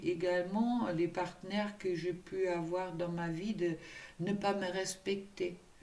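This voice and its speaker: Over audible room echo, a woman speaks at a very slow pace and medium pitch with monotone, flat intonation. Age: 60s. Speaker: tarot card reader and spiritual coach. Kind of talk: tarot reading guidance. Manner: hesitant with many fillers.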